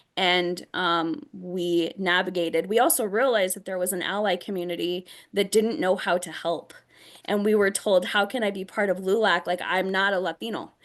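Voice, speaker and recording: With an American accent, a woman talks at a moderate pace and medium pitch, her intonation fairly even. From Northern Colorado, US. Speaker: nonprofit executive director, panelist. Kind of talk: panel discussion. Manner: halting, many fillers.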